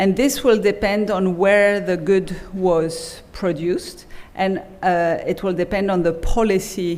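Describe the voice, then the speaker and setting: This woman talks very slowly. The room echo can be clearly heard. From Belgium. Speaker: economics professor. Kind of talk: keynote lecture. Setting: conference stage with audience.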